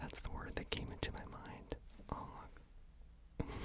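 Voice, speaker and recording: A whisper moves at a fairly slow pace beneath noticeable background noise. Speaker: ASMR artist. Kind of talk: ASMR art video. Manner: whispered, soft-spoken.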